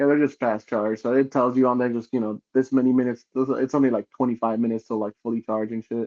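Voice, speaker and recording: A man's monotone, flat delivery in a Spanish accent, at a medium pitch and a very fast pace with hardly any pauses. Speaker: podcast co-host. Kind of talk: casual chat.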